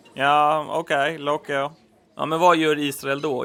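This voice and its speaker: A man's bright, sharp voice, fairly high in pitch, monotone and flat, at a fairly slow pace. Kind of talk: scripted two-character comedy dialogue, both voices by one person. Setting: home recording, low quality.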